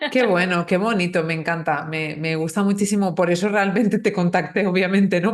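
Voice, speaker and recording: Moderate pace and ordinary pitch variation from a woman with a medium-pitched voice. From northern Spain. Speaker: podcast host, Spanish teacher. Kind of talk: casual interview chat.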